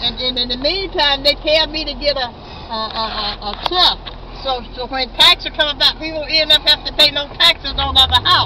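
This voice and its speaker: A woman's raised, projected voice at a moderate pace, with ordinary pitch variation, dry sound with no echo, and noticeable background noise. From United States. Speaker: cab passenger. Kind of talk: casual conversation. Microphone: phone near.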